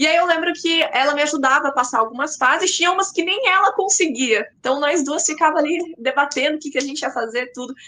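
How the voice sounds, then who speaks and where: A woman speaks in a raised, projected voice at a high pitch with ordinary variation. She talks very fast with hardly any pauses. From Paraná, Brazil. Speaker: content creator. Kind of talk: podcast interview.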